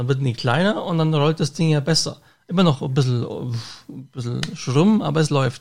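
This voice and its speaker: A normal speaking voice from a man, fairly high in pitch, with ordinary pitch variation. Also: moderate pace. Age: 30s. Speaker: podcast host and bus driver. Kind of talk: casual chat.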